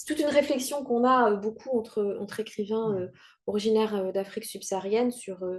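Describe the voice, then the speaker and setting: A woman's speech shows ordinary pitch variation and moves along at a moderate pace. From Rwanda. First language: Kinyarwanda (speaking French). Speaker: writer. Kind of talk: interview. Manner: halting.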